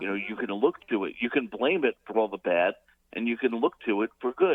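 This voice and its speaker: A plain, everyday voice from a man, medium in pitch, with lively intonation and a fairly quick pace. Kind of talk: radio call-in commentary. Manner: casual, humorous.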